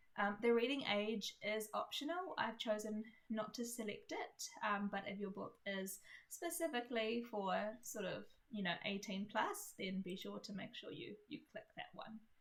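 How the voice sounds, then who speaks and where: Somewhat breathy, a woman speaks with a fairly high pitch. Her pace is moderate, with ordinary pitch variation. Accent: New Zealand. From New Zealand. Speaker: indie author. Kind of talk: tutorial. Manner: casual, many fillers.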